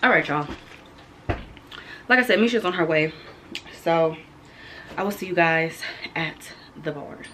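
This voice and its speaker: A woman speaks at a fairly low pitch and moderate pace, with ordinary pitch variation. Her loudness swings widely, she takes long, frequent pauses, and background noise is noticeable. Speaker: lifestyle vlogger. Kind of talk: casual vlog talk to camera. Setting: at home.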